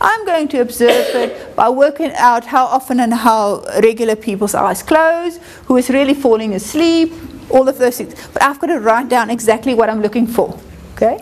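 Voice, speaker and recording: Over noticeable background noise, a woman with a high pitch talks at a moderate pace with ordinary pitch variation. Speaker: university lecturer. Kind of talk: lecture.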